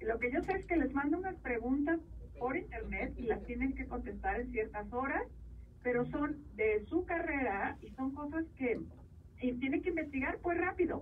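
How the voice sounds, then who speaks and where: Her intonation is lively and her pitch high. This woman talks at a moderate pace. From Mexico, Jalisco (Sayula). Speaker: columnist and TV commentator. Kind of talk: interview. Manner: halting, many fillers.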